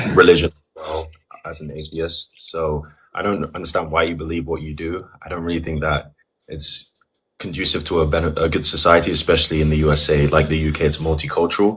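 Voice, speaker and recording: Speaking at a fairly quick pace, a man uses a very deep, low voice. His intonation is monotone and flat. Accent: London. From England, London. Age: 20s. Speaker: caller. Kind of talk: heated debate. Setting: video call. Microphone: audio too quiet.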